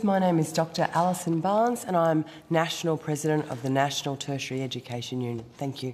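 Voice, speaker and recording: With an Australian accent, the speaker races at a very fast pace with lively intonation over noticeable background noise. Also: woman. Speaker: trade union president. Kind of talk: formal testimony.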